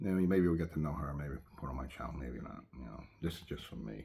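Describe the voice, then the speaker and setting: A man's very deep, low voice with vocal fry. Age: 60s. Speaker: vlogger. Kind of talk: casual talk to camera.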